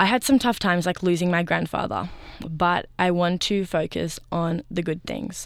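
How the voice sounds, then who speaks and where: Recorded very cleanly against a silent background, a woman speaks at medium pitch and a moderate pace. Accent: Australian. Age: young. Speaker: community radio co-host. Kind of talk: casual chat.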